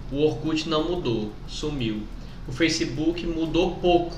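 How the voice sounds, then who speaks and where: A man speaks at a fairly slow pace with a fairly high pitch. Noticeable background noise and audible room echo fill the recording. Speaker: podcast host and teacher. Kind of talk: casual chat.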